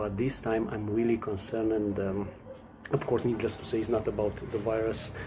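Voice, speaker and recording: Against noticeable background noise and audible room echo, a man talks at a medium pitch. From Romania. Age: 40s. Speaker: customer service worker sharing his views. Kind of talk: personal testimony. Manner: halting, many fillers.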